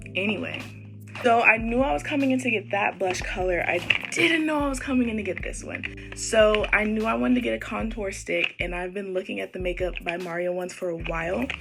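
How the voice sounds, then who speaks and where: A woman's upbeat, fairly quick delivery with noticeable background noise. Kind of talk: casual talk to camera, shopping haul. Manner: upbeat, chatty.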